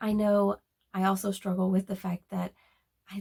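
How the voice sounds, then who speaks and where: A woman speaks at a medium pitch in a dark, mellow, somewhat breathy tone. Her intonation is monotone and flat, and the sound is dry and close with no echo. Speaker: booktuber. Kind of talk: casual monologue. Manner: halting.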